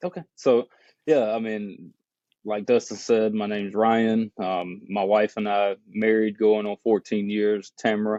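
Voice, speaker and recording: A fairly slow, fairly low-pitched man with a Southern US accent, dark and mellow in tone with fairly even intonation, recorded dry and close with no echo against a quiet background. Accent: Southern drawl. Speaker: business owner. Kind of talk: podcast interview, testimony.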